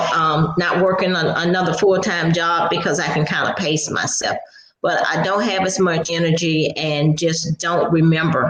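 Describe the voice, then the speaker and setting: Speech at a fairly slow pace comes through with noticeable background noise behind it. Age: 60s. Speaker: COVID long hauler. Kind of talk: testimony.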